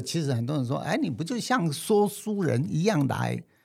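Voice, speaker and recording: Fairly high male voice with very wide pitch swings, in a very clean recording with a silent background. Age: 70s. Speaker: screenwriter and film describer. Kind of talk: interview.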